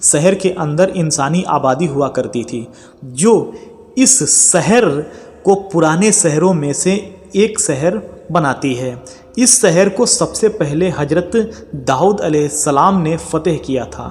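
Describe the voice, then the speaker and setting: Noticeable background noise surrounds a man's voice. His pitch is high and his intonation lively. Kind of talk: Islamic history narration. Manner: storytelling, addressing audience directly.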